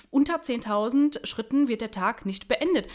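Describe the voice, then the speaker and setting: Using an ordinary speaking voice, a woman talks at a moderate pace with a fairly high pitch and lively intonation. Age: 20s. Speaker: beautician, coaching client. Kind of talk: casual interview.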